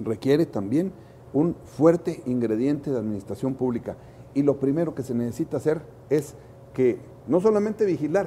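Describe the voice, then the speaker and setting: A man with an unremarkable speaking voice and a fairly high pitch talks at a moderate pace with lively intonation. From Chihuahua, northern Mexico. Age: 60s. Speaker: political candidate. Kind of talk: interview.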